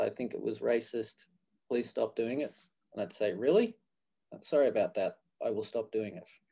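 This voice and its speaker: Speaking with an Australian accent, a man goes at a moderate pace and takes long, frequent pauses. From Australia (Queensland). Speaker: physical therapy program director. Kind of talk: interview.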